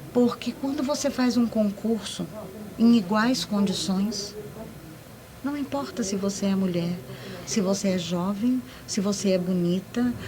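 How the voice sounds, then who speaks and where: A woman with medium pitch, ordinary pitch variation and a fairly slow pace, over noticeable background noise. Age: 60s. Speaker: public servant. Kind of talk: panel discussion.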